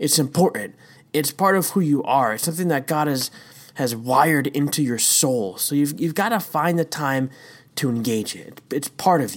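With an ordinary speaking voice, a man talks at a moderate pace in a fairly high pitch with lively intonation, recorded very cleanly against a silent background. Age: 30s. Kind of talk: devotional talk. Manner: casual with frequent fillers.

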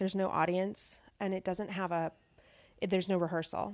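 A woman with an American accent speaks at a moderate pace and medium pitch in an ordinary speaking voice, recorded very cleanly against a silent background with a dry, close sound and no echo. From central Washington, US. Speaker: theater teaching artist. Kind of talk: interview. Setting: host's apartment.

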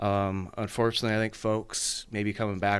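This is a man speaking. His voice sits fairly low. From California, Napa. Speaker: county supervisor candidate, engineering firm partner. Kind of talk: radio interview. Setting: studio. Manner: halting with fillers.

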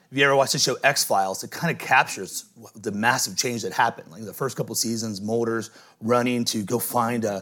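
In a very clean recording with a silent background, a man with an American accent talks at a moderate pace in a medium pitch, his tone bright and sharp, his intonation fairly even and his loudness swinging widely. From US Midwest. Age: 40s. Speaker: pastor. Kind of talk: sermon.

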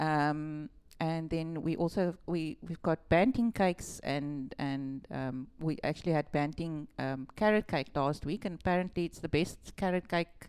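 With a South African accent, a woman talks at a moderate pace in a very deep, low pitch with ordinary pitch variation. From Western Cape, South Africa. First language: Afrikaans. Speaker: shop owner. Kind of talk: casual interview chat.

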